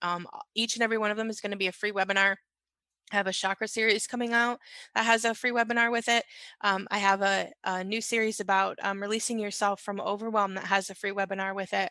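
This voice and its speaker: Against a quiet background, a woman at medium pitch rattles along at a very fast pace in a monotone, flat intonation. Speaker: consciousness coach and radio show host. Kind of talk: casual podcast monologue. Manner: hesitant, many fillers.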